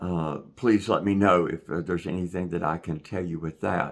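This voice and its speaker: Speaking with a Southwest Virginia accent, a man has a very deep, low pitch. His intonation stays fairly even. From Southwest Virginia, Appalachia. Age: 60s. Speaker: retired YouTuber and busker. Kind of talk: casual vlog monologue. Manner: halting, many fillers.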